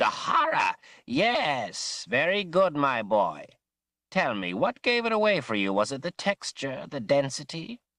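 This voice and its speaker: A man puts on a character voice with a high pitch. He speaks at a fairly slow pace against a quiet background. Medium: read story. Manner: animated, fussy.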